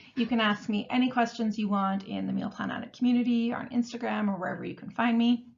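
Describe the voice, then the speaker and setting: The delivery is very fast with hardly any pauses. Its intonation is monotone and flat. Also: woman, fairly high pitch for a woman. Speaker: meal planning coach. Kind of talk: webinar tutorial. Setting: online webinar.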